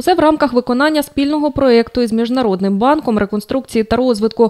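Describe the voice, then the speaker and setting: Her voice has a dark, mellow tone, and a woman's pitch varies in an ordinary way. The sound is dry and close, without any echo. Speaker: TV news reporter. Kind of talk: news report voiceover.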